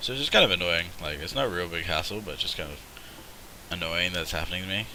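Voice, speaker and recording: A man talks at a very fast pace with a very deep, low pitch and ordinary pitch variation. Audible room echo and noticeable background noise are present. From Australia. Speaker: gaming streamer. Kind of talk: live gameplay commentary. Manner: casual, rambling.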